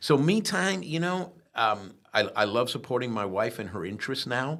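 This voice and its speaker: A man at medium pitch and moderate pace, with very wide pitch swings. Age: 60s. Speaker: tourism agency executive. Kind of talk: podcast interview. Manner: halting, many fillers and restarts.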